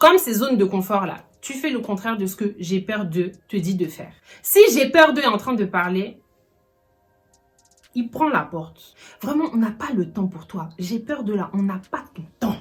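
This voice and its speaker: A woman speaks at a medium pitch and a fairly slow pace, with lively intonation and long, frequent pauses. Her loudness swings widely, and music plays in the background. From Ivory Coast and France. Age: 20s. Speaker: YouTuber. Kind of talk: casual talk to camera. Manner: lively, humorous.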